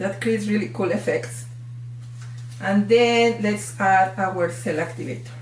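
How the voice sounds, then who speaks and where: A Mexican accent at a fairly slow pace over noticeable background noise. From Mexico. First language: Spanish. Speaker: art tutorial creator. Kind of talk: tutorial. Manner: animated.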